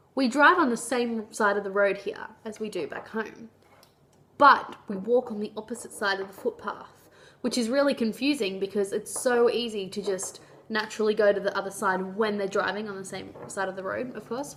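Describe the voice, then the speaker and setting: A woman with an Australian accent, ordinary pitch variation and big swings in loudness. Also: fairly high pitch for a woman, moderate pace. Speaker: vlogger. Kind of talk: casual vlog monologue. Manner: chatty, informal.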